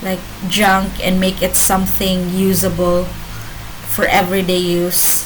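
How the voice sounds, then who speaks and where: A woman with a non-native accent speaks at a medium pitch and a fairly slow pace. There is noticeable background noise and audible room echo. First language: not English. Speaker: vlogger. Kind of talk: casual monologue vlog. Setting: home, laptop camera. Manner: halting, many fillers. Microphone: laptop, bad quality.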